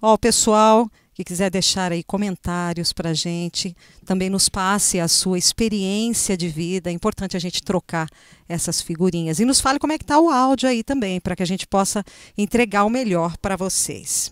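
A woman's medium-pitched voice with ordinary pitch variation at a moderate pace, dry with no echo, over a quiet background. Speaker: talk show host. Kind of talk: casual chat. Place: studio. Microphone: handheld.

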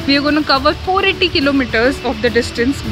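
A woman speaks at a high pitch with ordinary pitch variation. Clear music plays in the background. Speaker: travel vlogger. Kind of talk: casual vlog chat. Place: garden. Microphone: phone near.

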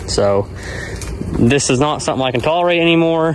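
Ordinary pitch variation from a man, dry with no echo, over light background noise. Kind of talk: casual vlog chat. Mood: frustrated about mean ram. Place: farm machine. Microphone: phone near.

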